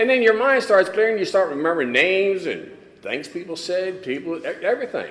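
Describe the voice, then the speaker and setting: Audible room echo surrounds a man speaking at a high pitch. His intonation is lively and his pace fairly quick. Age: 80s+. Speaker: recovery speaker. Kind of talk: testimony. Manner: halting.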